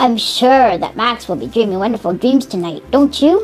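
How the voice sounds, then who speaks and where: A woman puts on a character voice with a fairly high pitch, speaking at a moderate pace while clear music plays in the background. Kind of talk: children's storybook reading. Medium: read story. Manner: chatty, asks the listener questions.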